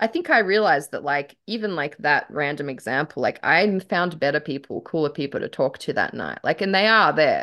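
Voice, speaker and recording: With an Australian accent, a woman talks at a fairly quick pace in a fairly low pitch, her intonation lively. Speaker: aspiring author and podcast host. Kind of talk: casual banter. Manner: animated.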